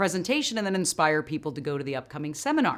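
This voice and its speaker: On a very clean recording with a silent background, a woman speaks at a very deep, low pitch with a bright, sharp tone. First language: not English. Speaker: motivational speaker and NLP coach. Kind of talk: motivational talk.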